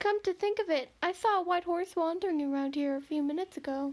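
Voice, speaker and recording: A woman's squeaky, put-on character voice at an extremely high pitch, very fast pace and ordinary pitch variation. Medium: game stream. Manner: mocking, salesy.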